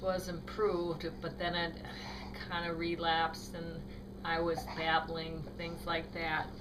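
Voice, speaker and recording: A woman at a very slow pace and fairly low pitch, amid audible room echo and noticeable background noise. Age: 50s. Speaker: brain tumor patient. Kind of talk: personal testimony. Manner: halting, choppy speech; hesitant with many fillers.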